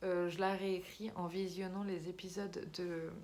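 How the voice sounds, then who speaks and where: Audible room echo surrounds a woman who speaks at a very slow pace in a medium pitch with monotone, flat intonation. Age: 20s. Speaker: YouTuber and amateur writer. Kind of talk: casual vlog talk. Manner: hesitant, many fillers.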